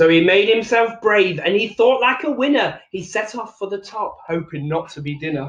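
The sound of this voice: With audible room echo, a man talks at a moderate pace in a high pitch, his intonation lively and his tone fairly bright.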